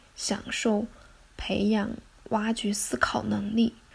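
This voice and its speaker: A woman speaking at a very slow pace. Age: 20s. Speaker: podcast host. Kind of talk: scripted solo narration.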